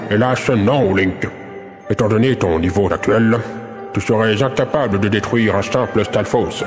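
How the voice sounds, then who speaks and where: Clear music plays behind a man doing a put-on character voice at a medium pitch. His loudness stays very even, and he moves at a moderate pace with long, frequent pauses. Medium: audio drama. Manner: formal, lofty.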